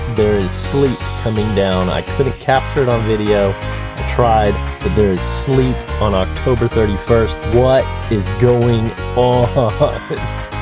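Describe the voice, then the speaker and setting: Over clear background music, a man speaks at a very slow pace in a dry sound with no echo. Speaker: youth pastor vlogger. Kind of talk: casual vlog chat. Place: car. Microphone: phone near.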